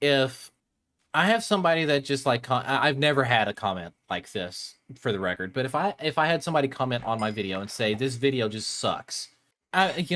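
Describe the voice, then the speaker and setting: Bright and sharp in tone, a man's medium-pitched voice races along at a very fast pace with lively intonation on a very clean recording with a silent background. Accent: American. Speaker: Minecraft content creator and podcast host. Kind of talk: casual chat. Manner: halting, frequent repetitions.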